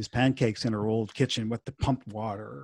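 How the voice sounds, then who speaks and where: At a moderate pace, the voice is somewhat breathy, with fairly even intonation and a dry, close sound with no echo. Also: man. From Montreal. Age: 60s. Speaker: musician. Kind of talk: casual chat.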